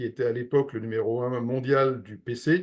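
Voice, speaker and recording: A man talks in an unremarkable speaking voice, moving at a moderate pace with ordinary pitch variation. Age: 60s. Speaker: real estate investment advisor. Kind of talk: interview.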